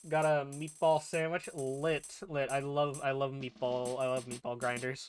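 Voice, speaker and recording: Music plays in the background as a man talks in an animated tone at a moderate pace. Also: fairly high pitch for a man. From New England. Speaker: video game streamer. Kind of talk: live game stream with chat Q&A, partly reading game dialogue aloud. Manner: casual, animated.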